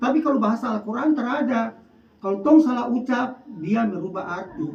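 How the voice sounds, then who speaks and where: The speaker talks with a North Maluku accent. Noticeable background noise can be heard. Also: fairly quick pace. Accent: North Maluku Malay. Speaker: PKK competition judge. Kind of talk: religious advice talk.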